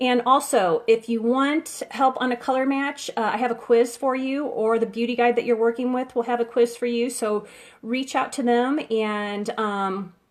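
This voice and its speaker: A woman speaks at a high pitch and a moderate pace with fairly even intonation. The recording is very clean, with a silent background. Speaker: beauty consultant. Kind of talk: live-stream makeup tutorial. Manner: halting, stutters; chatty, casual.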